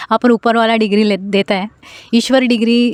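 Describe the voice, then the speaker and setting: A woman's monotone, flat voice with a non-native accent at a moderate pace, on a very clean recording with a silent background. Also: dry, close sound with no echo. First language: not Hindi (speaking Hindi). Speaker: vlogger. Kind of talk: casual vlog monologue. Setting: outdoors in a garden. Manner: hesitant, with many fillers.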